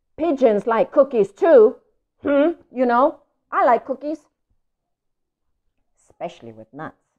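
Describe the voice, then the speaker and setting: A whiny put-on character voice at a fairly slow pace, broken by long, frequent pauses. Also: woman, high pitch for a woman. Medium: read story. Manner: whiny, indignant.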